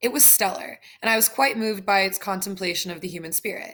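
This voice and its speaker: A woman puts on a robotic character voice. She rattles along at a very fast pace and a medium pitch. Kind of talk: formal, overly polished. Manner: stiff, robotic.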